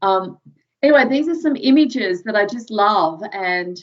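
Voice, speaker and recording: Speaking at a fairly slow pace with an American accent, a woman uses lively intonation at a medium pitch. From Australia, Sydney southern suburbs. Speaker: professor. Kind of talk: lecture. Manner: casual, with many fillers.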